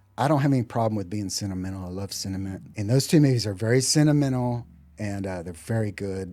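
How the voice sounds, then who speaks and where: A man with a Texan accent talks very fast in a fairly low, dark, mellow voice. His pitch moves in an ordinary way while his loudness swings widely. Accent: Texas accent, noticeable outside Texas. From Texas, Dallas-Fort Worth area. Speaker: musician. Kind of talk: interview.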